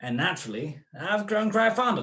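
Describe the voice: Putting on a character voice, a man speaks high in pitch at a moderate pace, with big pitch swings and a bright, sharp tone.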